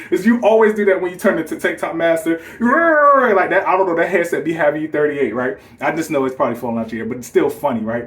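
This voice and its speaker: Talking at a very fast pace with hardly any pauses, a man with a high pitch sounds animated, his pitch swinging very widely over noticeable background noise. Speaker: gaming YouTuber. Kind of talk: casual response video.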